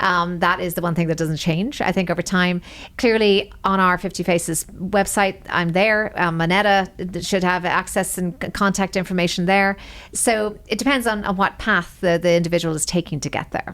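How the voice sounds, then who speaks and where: This woman has an Irish accent and a medium pitch. She talks at a moderate pace with fairly even intonation. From Ireland. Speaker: senior wealth advisor. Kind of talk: interview.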